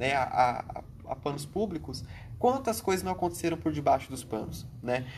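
His voice comes across somewhat breathy. The speaker is male. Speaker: podcast co-host. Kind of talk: casual political discussion.

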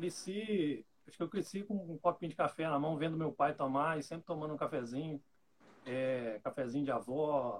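At a moderate pace, a man with a fairly high pitch speaks with ordinary pitch variation and big swings in loudness. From Rio de Janeiro state, Brazil. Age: 30s. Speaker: bank clerk and coffee hobbyist. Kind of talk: casual chat.

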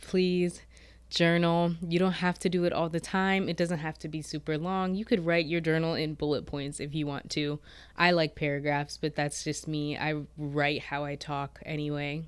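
A woman with a very deep, low pitch speaks at a moderate pace with fairly even intonation, recorded very cleanly against a silent background. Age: 20s. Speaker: podcast host. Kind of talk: solo monologue.

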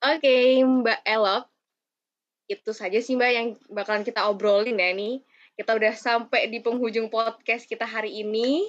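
Using an unremarkable speaking voice, a woman talks at a moderate pace with a fairly high pitch and fairly even intonation. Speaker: student podcast host. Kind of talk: casual podcast interview.

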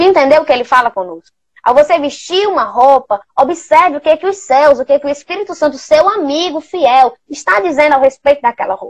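The woman's high-pitched voice has an animated tone and lively intonation at a fairly quick pace. The sound is dry and close, with no echo. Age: 20s. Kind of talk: livestream talk on faith and fashion. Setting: online live stream.

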